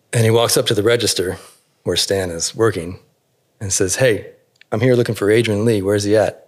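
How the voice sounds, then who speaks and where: On a very clean recording with a silent background, the speaker has an American accent, a fairly quick pace, fairly even intonation, and long, frequent pauses. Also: man, fairly low pitch for a man. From Alaska and Northern California. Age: 40s. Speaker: tattoo artist. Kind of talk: interview. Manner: thoughtful, measured; hesitant, many fillers.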